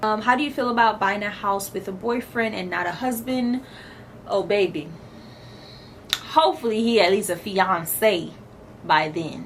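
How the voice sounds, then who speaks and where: The speech moves at a moderate pace with lively intonation and long, frequent pauses. Noticeable background noise is present. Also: woman, medium pitch for a woman. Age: 20s. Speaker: lifestyle vlogger. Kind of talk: casual chat.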